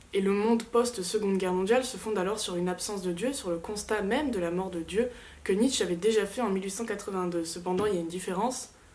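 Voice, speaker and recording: Speaking at a very fast pace, a woman uses a medium pitch with ordinary pitch variation. Audible room echo and noticeable background noise fill the recording. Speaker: literature student youtuber. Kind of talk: rehearsed class presentation. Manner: hesitant fillers.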